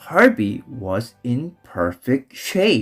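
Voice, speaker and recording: Very wide pitch swings mark this voice, with music playing in the background. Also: man. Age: young. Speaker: father reading aloud. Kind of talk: children's storybook read-aloud. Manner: role-play character voices.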